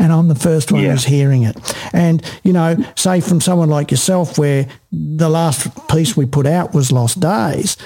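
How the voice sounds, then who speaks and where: Noticeable background noise runs under a voice with an Australian accent that keeps very even loudness and a fairly slow pace with hardly any pauses. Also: man, fairly high pitch for a man, ordinary pitch variation. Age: 60s. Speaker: podcast host. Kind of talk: interview. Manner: animated.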